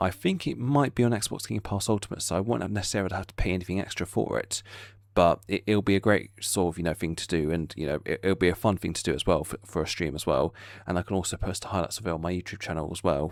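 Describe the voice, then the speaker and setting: With an English accent, a man talks at a very fast pace in a very deep, low pitch with ordinary pitch variation. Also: very clean recording, silent background. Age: 20s. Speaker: YouTuber. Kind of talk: casual vlog update. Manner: halting, many fillers.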